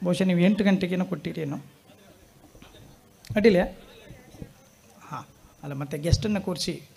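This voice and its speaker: In a coastal Karnataka accent, a man talks at a high pitch with big swings in loudness. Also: ordinary pitch variation. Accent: Kundapura Kannada dialect. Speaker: comedian. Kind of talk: reflective talk to a live audience.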